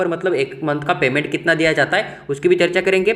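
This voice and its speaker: Over noticeable background noise, a man speaks at a moderate pace with a high pitch. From Maharashtra, India. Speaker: medical admissions counselor. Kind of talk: informational video explainer.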